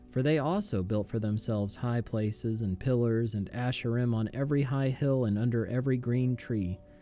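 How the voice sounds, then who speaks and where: The speech moves at a moderate pace. Music can be heard behind it. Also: man. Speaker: pastor, Bible reader. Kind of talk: scripture reading, daily Bible audio.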